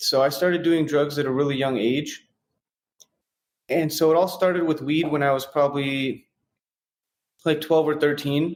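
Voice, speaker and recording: The speaker has an American accent and keeps a fairly even intonation. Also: man. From San Francisco, US. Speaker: real estate investor in recovery. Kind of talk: personal testimony in interview.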